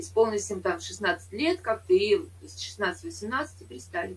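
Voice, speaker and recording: A woman speaks with big swings in loudness and long, frequent pauses. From Saint Petersburg, Russia. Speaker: chat roulette partner. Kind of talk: casual debate chat. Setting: video call. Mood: argumentative, opinionated. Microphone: video call.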